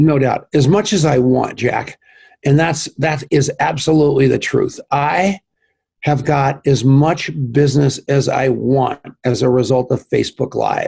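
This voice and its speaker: A man speaks at a fairly slow pace with a somewhat breathy, fairly high voice and very even loudness. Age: 60s. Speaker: network marketing entrepreneur and tech co-founder. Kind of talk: podcast interview. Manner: animated.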